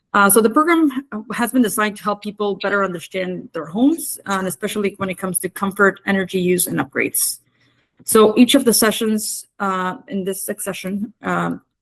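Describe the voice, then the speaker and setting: A plain, everyday voice with a Canadian accent, a fairly quick pace and ordinary pitch variation, in a dry, close sound with no echo. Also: woman, medium pitch for a woman. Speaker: climate program coordinator. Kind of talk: workshop presentation.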